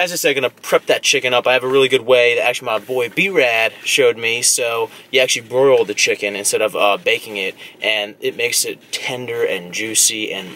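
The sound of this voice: A man at medium pitch with a bright, sharp tone, ordinary pitch variation, a moderate pace and few pauses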